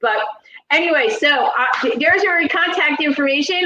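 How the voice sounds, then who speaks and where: The voice is raised and projected, with a New Jersey accent. Its intonation is lively. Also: woman. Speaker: paranormal channel host, speech therapist. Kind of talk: casual interview chat. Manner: halting, many fillers.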